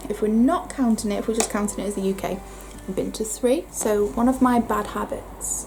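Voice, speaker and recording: A woman speaks at a fairly quick pace in a fairly high voice with ordinary pitch variation, and noticeable background noise can be heard. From northern England. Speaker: beauty vlogger. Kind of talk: casual chat. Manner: chatty.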